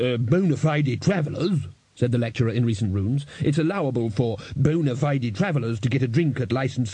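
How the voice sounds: Ordinary pitch variation in a natural reading voice.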